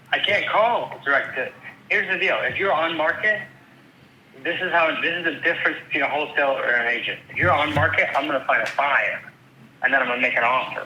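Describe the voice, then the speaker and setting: A man talks very fast in an American accent. The room echo is audible and the background noise noticeable. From upstate New York (Rochester). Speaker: real estate agent. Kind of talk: phone call conversation. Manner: animated.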